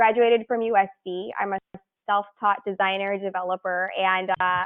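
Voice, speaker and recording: At a moderate pace, a woman with an ordinary speaking voice and a medium pitch talks with fairly even intonation. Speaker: design studio founder. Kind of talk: presentation.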